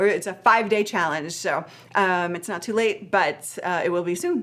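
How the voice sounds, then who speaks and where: The speaker is a woman with a medium pitch. It moves up and down in an ordinary way. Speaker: live streaming coach. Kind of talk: live stream Q&A. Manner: fast; animated.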